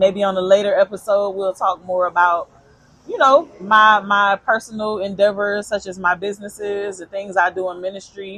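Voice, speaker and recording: Loudness swings widely throughout. The pace is moderate and the intonation fairly even. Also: woman, medium pitch for a woman. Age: 40s. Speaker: podcast co-host. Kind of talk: casual chat. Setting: outdoor pizza restaurant.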